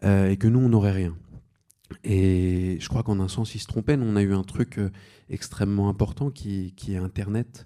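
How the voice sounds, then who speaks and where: A man with a fairly low, dark and mellow voice talks at a fairly slow pace. His intonation stays fairly even, broken by long, frequent pauses. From France, Seine-et-Marne. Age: 30s. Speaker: novelist. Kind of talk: panel discussion.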